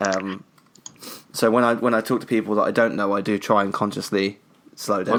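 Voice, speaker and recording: A man with a British accent talks at a fairly quick pace in a monotone, flat intonation. His fairly low voice is broken by long, frequent pauses. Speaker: podcast co-host. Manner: fast talker.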